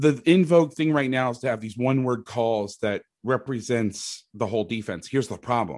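A man's normal speaking voice with an American accent, medium in pitch with ordinary variation, at a moderate pace with hardly any pauses. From Florida, Orlando. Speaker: football coach and defense analyst. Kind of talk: casual chat.

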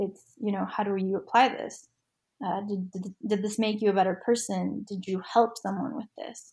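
A woman speaks with a dark, mellow tone and vocal fry. Her intonation stays fairly even. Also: medium pitch for a woman, moderate pace. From Argentina, then Utah US. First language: Spanish. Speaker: nonprofit board member and lawyer. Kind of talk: casual interview chat.

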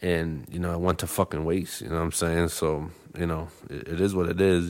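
Over a silent background in a very clean recording, a man with a Boston accent talks at a fairly quick pace in a very deep, low pitch with monotone, flat intonation. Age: 30s. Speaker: podcast host. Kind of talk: casual chat. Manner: halting, repeats words.

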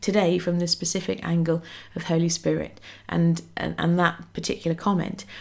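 A woman with a British accent speaks in a fairly low voice with a warm tone. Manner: warm, chatty, informal.

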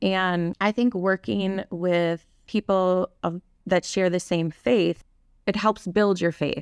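Very slowly, a woman speaks with fairly even intonation and very even loudness on a very clean recording with a silent background. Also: medium pitch for a woman. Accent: Wisconsin. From Wisconsin, Kaukauna. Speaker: church volunteer and early childhood educator. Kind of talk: testimony.

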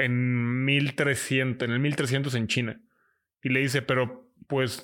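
Monotone and flat in intonation, a man speaks at a medium pitch with a Mexican accent. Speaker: podcast co-host. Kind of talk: casual chat.

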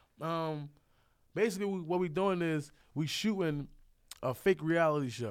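With an American accent, a man of fairly high pitch talks at a moderate pace, using ordinary pitch variation and long, frequent pauses. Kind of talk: casual chat.

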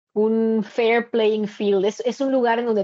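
A woman is speaking. Her pitch sits fairly high. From Mexico, Veracruz coast. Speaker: migrant and university instructor. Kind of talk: interview. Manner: halting with frequent repetitions.

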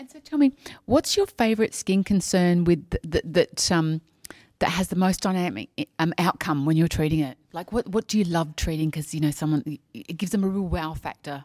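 The voice has an Australian accent and lively intonation. The recording is very clean with a silent background, and the sound is dry and close with no echo. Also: woman, fairly low pitch for a woman, fairly quick pace, big swings in loudness. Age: 50s. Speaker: podcast host. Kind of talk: casual interview. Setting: at a conference.

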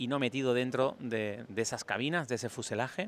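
This man has a bright, sharp tone at medium pitch. His pitch varies in an ordinary way. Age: 40s. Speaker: travel podcaster. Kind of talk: solo travel vlog monologue. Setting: airport departure gate.

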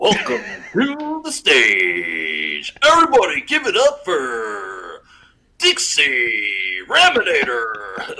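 A man puts on a character voice and talks at a very slow pace. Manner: hyped up.

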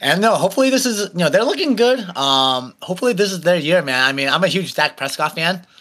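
Very fast and bright, sharp in tone, a man with a high voice and an American accent speaks with very wide pitch swings on a very clean recording with a silent background. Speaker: podcast guest, local school committee candidate. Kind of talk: casual chat.

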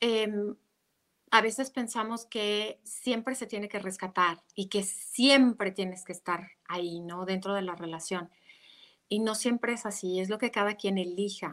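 Speaking at a fairly slow pace, a woman uses a plain, everyday voice with fairly even intonation. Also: medium pitch for a woman. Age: 40s. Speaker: meditation teacher and relationship coach. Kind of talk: interview about relationships.

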